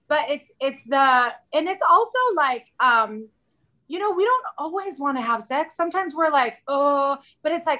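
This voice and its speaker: With a bright, sharp tone, a woman raises and projects her high-pitched voice in a very clean recording with a silent background. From Southern California. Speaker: podcast guest, working mother. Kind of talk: casual interview chat.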